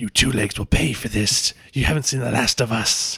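Putting on a character voice at a medium pitch, a man talks at a moderate pace with hissing in the recording. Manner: hissing, menacing.

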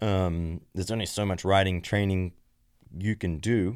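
A man with an Australian accent speaks at a moderate pace in a very deep, low pitch. His intonation is monotone and flat, and the recording is very clean with a silent background. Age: 30s. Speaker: former racer. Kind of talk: casual chat.

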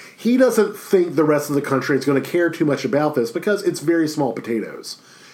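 A man's fairly high voice, quick-paced and lively in intonation, with audible room echo. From Louisiana, Baton Rouge. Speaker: history professor. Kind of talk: recorded lecture. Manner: casual, filler-heavy.

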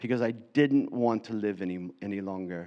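There is ordinary pitch variation as the man talks, with a quiet background. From US, Florida. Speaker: preacher. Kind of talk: sermon. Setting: church.

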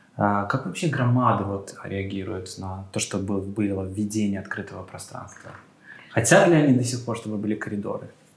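Over noticeable background noise, a man talks at a moderate pace with a fairly low pitch, ordinary pitch variation and big swings in loudness. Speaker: podcast co-host. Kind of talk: moderated podcast discussion.

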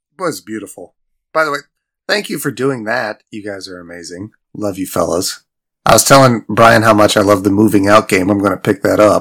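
A plain, everyday voice moves at a fairly quick pace with ordinary pitch variation and big swings in loudness. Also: man, fairly low pitch for a man. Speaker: podcast host guest. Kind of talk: casual chat.

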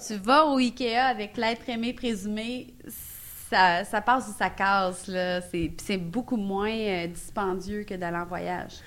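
A woman speaks in a Quebec accent at a medium pitch. Her pace is very slow, with ordinary pitch variation. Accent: Québécois French. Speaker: improv comedian. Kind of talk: improvised comedy game. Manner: animated.

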